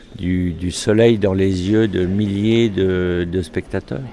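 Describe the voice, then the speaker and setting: A man speaks very slowly in a very deep, low pitch, with noticeable background noise around him. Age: 60s. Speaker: event organizer. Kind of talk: interview. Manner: hesitant, many filler sounds.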